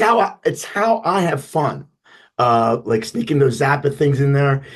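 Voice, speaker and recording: A man's somewhat breathy, fairly high-pitched voice at a moderate pace, with lively intonation. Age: 70s. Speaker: big band leader. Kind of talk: interview. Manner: halting.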